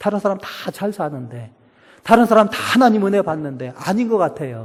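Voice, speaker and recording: A man's high voice at a moderate pace, with very wide pitch swings. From Chungcheong, South Korea. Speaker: pastor and professor. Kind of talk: sermon. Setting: church. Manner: animated.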